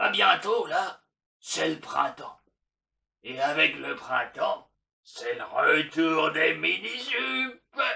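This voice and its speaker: Using a cartoonish character voice, a man speaks at a very slow pace with long, frequent pauses. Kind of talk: comedic puppet monologue to a therapist. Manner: crude, boastful.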